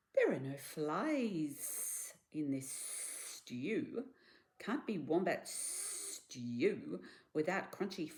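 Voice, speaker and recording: Using a put-on character voice, a man speaks at a high pitch and a very slow pace, with hissing. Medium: read story.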